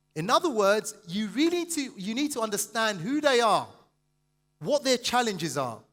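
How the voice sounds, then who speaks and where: A high-pitched man at a moderate pace, animated in tone, with lively intonation. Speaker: motivational business speaker. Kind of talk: seminar talk to live audience.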